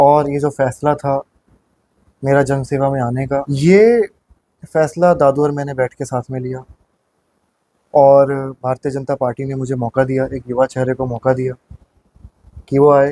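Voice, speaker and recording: With long, frequent pauses, a man speaks at a fairly high pitch in a dark, mellow tone and fairly even intonation, the sound dry and close with no echo. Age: 20s. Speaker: municipal election candidate. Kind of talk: interview.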